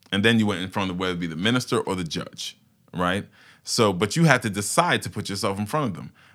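In a very clean recording with a silent background, a man with a New York accent talks at a very fast pace, with a fairly low pitch and lively intonation. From Brooklyn, New York (Fort Greene). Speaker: paralegal. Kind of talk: podcast interview.

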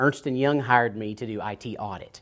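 Recorded very cleanly against a silent background, a man with a Tennessee accent talks at a moderate pace in a medium pitch with ordinary pitch variation. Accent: Southern US (Tennessee). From US South, East Tennessee. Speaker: cybersecurity consultant and accountant. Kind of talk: interview.

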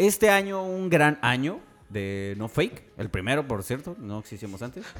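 With very wide pitch swings and an animated tone, a man speaks at a fairly slow pace. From Tijuana, Mexico. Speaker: podcast co-host. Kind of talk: casual chat.

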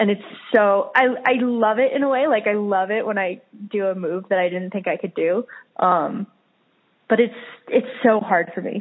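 With a General American accent, a woman speaks at a moderate pace and medium pitch, using ordinary pitch variation and long, frequent pauses. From Colorado, US. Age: 20s. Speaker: professional climber. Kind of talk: interview.

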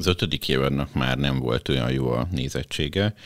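Very deep and low, a man's voice carries vocal fry and ordinary pitch variation at a fairly slow pace, sounding dry and close with no echo. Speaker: podcast host and editor-in-chief. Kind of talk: interview, host introducing.

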